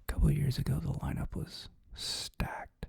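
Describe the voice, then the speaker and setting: This is a man's voice. He is whispering. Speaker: ASMR creator. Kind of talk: ASMR whispered ramble. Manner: whispered, soft-spoken.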